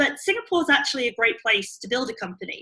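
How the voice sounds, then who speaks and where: A woman with a British accent talks at a fairly quick pace with ordinary pitch variation. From UK. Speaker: startup CEO and co-founder. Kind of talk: interview.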